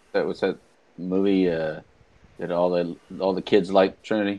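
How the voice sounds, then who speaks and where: This man speaks in a very deep, low pitch with monotone, flat intonation. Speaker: addiction recovery show host. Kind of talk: casual chat. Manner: jokey. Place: home room.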